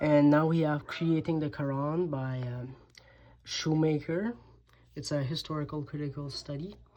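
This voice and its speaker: A woman with a French accent speaks at a very deep, low pitch, fairly slowly and with fairly even intonation. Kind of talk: casual talk to camera.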